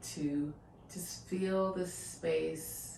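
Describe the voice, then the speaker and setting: A woman with a calm, soothing tone is heard amid audible room echo and noticeable background noise. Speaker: fitness instructor. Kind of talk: guided exercise instruction. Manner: casual, chatty.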